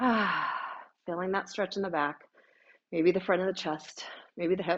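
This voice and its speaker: A woman talks in a normal speaking voice at medium pitch. Her pace is moderate and her intonation fairly even. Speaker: pilates instructor. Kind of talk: fitness class instruction. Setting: studio.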